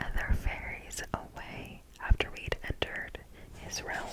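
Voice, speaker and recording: Noticeable background noise surrounds a woman whispering at a very slow pace. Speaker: ASMR creator. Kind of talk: ASMR book reading. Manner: soft, slow, whispered.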